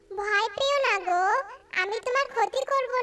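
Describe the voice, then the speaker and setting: At a fairly slow pace, the speaker puts on a cartoonish character voice. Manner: gentle, earnest.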